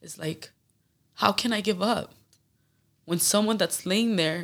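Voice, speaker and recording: Speech with a Spanish accent at a moderate pace, with ordinary pitch variation. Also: woman. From Phoenix, Arizona, Mexican family. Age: 20s. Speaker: professional MMA fighter. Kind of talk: casual chat.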